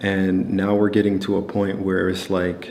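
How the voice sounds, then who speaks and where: A man speaks at a moderate pace with a fairly low pitch and a calm tone. His intonation is monotone and flat, with audible room echo. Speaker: trading educator. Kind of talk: casual talking segment. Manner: calm, low-key; casual, many fillers.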